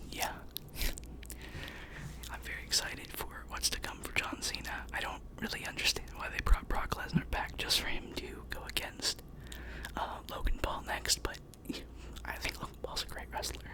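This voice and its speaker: A whispering man at a moderate pace, with long, frequent pauses and noticeable background noise. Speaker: ASMR content creator. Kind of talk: ASMR trigger-word whisper ramble to camera. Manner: close-up whisper, repeating words.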